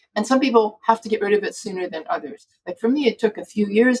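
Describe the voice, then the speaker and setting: Somewhat breathy woman's voice at a fairly quick pace. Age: 60s. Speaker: physician, food addiction expert. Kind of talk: interview conversation.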